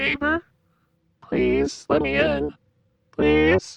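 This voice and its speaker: This is a put-on character voice. It sits at a very deep, low pitch. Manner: begging.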